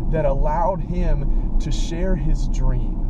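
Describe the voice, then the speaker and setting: A man's voice sits in loud background noise, with a dry sound and no echo. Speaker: preacher. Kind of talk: inspirational talk, sermon-like. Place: car. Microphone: phone near.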